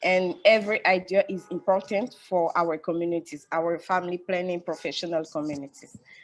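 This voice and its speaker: A woman's fairly low-pitched voice in a French accent, with ordinary pitch variation at a moderate pace. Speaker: family planning professional. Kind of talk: webinar panel discussion. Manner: halting.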